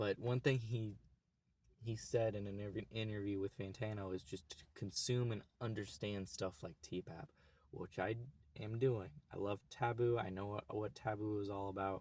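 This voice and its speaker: With an American accent, a man speaks at a moderate pace in a fairly low voice with fairly even intonation. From US, Oklahoma. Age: 20s. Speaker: YouTuber. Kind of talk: casual vlog monologue. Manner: casual, halting with restarts.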